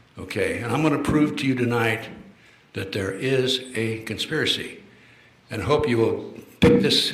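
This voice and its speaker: Audible room echo and noticeable background noise surround the voice. The speech has ordinary pitch variation and a moderate pace. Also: man. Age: 80s+. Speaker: retired FBI official, lecturer. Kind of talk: lecture to live audience. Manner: halting, many fillers.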